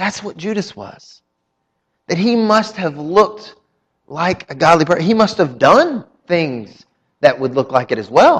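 A man with a Southern US accent, high-pitched, at a fairly slow pace with long, frequent pauses, very wide pitch swings and big swings in loudness. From North Carolina. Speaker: pastor. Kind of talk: sermon. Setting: church.

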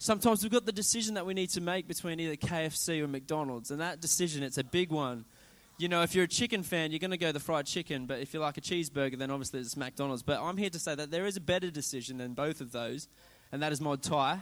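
A man's very fast speech in an Australian accent, fairly high in pitch with ordinary variation, on a very clean recording with a silent background. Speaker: preacher. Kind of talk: sermon. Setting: church. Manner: informal, humorous.

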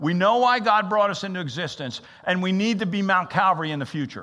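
At a fairly quick pace, a raised, projected voice with a bright, sharp tone and lively intonation rings out amid audible room echo. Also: man. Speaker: interim pastor. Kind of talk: sermon. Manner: halting.

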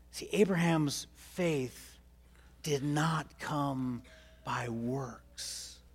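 In a room with audible echo, a man speaks at a very slow pace in a fairly high pitch with ordinary pitch variation. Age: 50s. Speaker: pastor. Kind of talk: sermon. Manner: halting, many repeated words.

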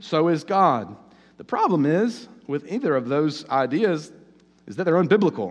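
Lively intonation from a high-pitched man with a Southern US accent, at a moderate pace. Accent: southern US, noticeable. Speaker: pastor. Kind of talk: sermon. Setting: church. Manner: hesitant, filler-heavy.

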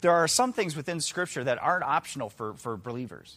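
Lively intonation marks this man's fairly quick speech. The recording is very clean with a silent background. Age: 40s. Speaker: lay preacher filling in for pastors. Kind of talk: sermon. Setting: church service with congregation. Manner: casual, many fillers and repetitions.

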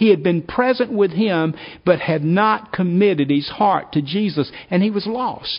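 The voice reads aloud without strain. Pitch rises and falls in an ordinary way.

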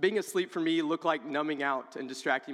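Noticeable background noise runs beneath speech delivered at a fairly quick pace. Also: man. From Oak Grove. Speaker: PE teacher and coach. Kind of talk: testimony. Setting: church.

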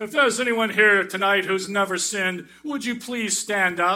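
A loud, put-on character voice moves at a moderate pace. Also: man, high pitch for a man. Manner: loud, pious, dramatic.

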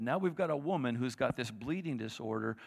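On a very clean recording with a silent background, a man with a plain, everyday voice talks at a fairly quick pace, medium in pitch and lively in intonation. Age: 50s. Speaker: guest preacher. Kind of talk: sermon. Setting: church. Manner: conversational.

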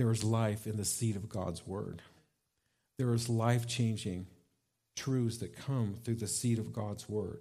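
The voice is somewhat breathy, with a dark, mellow tone and fairly even intonation. It moves at a fairly slow pace with long, frequent pauses. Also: man, medium pitch for a man. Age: 60s. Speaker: pastor. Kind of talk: sermon. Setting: church.

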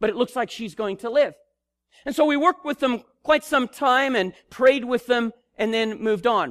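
Speaking at a moderate pace, a man uses an extremely high pitch with ordinary pitch variation. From Africa. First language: not English. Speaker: missionary preacher. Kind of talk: sermon. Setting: church.

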